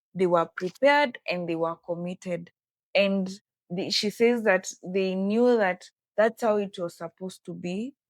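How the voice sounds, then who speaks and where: Speaking at a fairly slow pace, a woman uses medium pitch and ordinary pitch variation, with a dry, close sound and no echo. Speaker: interpreter. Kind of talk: interview interpretation.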